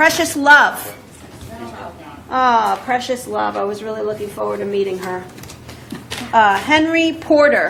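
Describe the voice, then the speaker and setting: A woman talks at a fairly slow pace, with long, frequent pauses and big swings in loudness. Audible room echo and noticeable background noise surround her. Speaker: judge. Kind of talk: court hearing. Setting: courtroom.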